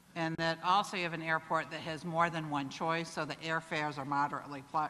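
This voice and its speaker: This speaker talks at a fairly quick pace with a Cleveland accent. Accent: Cuyahoga (Cleveland, Ohio). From northern Ohio (Cleveland area). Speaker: corporate executive. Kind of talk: conference speech. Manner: halting, many fillers.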